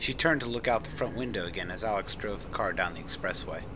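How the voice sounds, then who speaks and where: With music in the background, a man delivers his words at a moderate pace. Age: 20s. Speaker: amateur audiobook reader. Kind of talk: read story.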